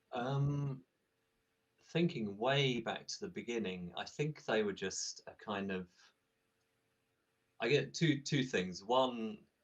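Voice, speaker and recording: Using lively intonation, a man with an English accent speaks at a very slow pace, with long, frequent pauses. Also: medium pitch for a man. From England. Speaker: tabletop game designer. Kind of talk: interview. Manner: hesitant, many fillers.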